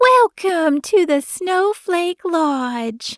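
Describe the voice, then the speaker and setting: A woman puts on a squeaky character voice at an extremely high pitch with very wide swings. The sound is dry and close, with no echo. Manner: cheery, welcoming.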